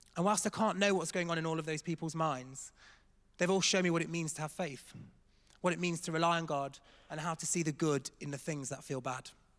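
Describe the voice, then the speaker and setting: A man speaks in an English accent at a fairly quick pace with fairly high pitch. The recording is very clean, with a silent background. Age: 30s. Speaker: church staff member. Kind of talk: testimony. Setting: church stage with congregation.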